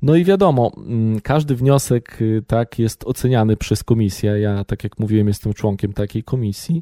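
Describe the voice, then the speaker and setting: Dark and mellow in tone, a man at medium pitch speaks at a moderate pace with lively intonation, in a very clean recording with a silent background and a dry, close sound with no echo. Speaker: labour office deputy director, business plan evaluator. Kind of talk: interview.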